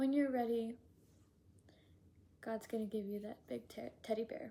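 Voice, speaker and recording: Her tone is gentle, soothing, dark and mellow, and somewhat breathy. This woman's pitch sits fairly high. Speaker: spiritual channeler. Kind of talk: channeled spiritual message. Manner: slow.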